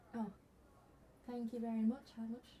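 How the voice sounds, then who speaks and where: The woman's voice is fairly high in pitch with a dark, mellow tone. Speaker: ASMR creator doing a girlfriend roleplay. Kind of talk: girlfriend ASMR roleplay, casual talk to the listener.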